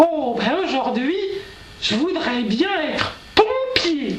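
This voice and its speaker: A put-on character voice at a very slow pace, with slight echo and clear background noise. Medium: comedy sketch. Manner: drawling, simple.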